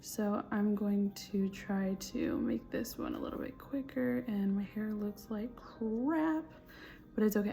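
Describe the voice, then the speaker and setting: Over music in the background, a woman with an American accent whispers quietly at a fairly slow pace. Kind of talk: testimony. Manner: whispering, quiet; casual, hesitant with fillers.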